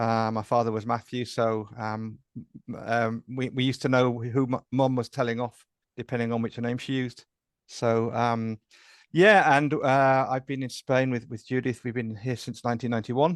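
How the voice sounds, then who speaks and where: Against a quiet background, a man with an English accent talks at a moderate pace and medium pitch in a monotone, flat intonation, the sound dry and close with no echo. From England. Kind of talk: interview. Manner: hesitant, many fillers.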